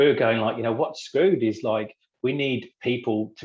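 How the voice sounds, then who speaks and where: A man speaks in an English accent with ordinary pitch variation. The background is quiet. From England. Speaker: business cofounder. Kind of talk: podcast interview.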